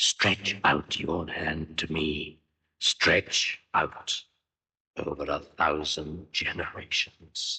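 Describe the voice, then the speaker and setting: Very slowly, a man drawls in a put-on character voice pitched very deep and low. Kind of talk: 1980s radio drama monologue. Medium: old radio play. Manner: incantatory, ominous.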